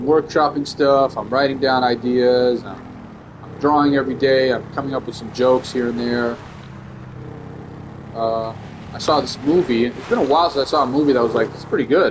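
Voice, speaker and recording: A man at medium pitch talking at a fairly quick pace with fairly even intonation, long and frequent pauses and big swings in loudness, over noticeable background noise. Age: 30s. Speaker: comedian and gaming streamer. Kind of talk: casual gaming stream chat. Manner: casual, rambling with fillers.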